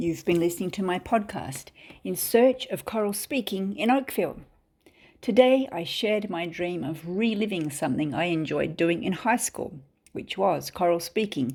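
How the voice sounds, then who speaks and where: Speaking in an Australian accent, a woman uses lively intonation at a medium pitch. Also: moderate pace. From Australia (Perth). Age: 50s. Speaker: podcast host. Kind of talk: scripted narration.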